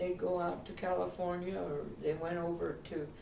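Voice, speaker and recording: A woman with an Upper Midwest accent speaks in a fairly low pitch against noticeable background noise. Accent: Upper Midwest American. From Minneapolis, Minnesota. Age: 80s+. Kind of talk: interview answer. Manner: reminiscing, hesitant.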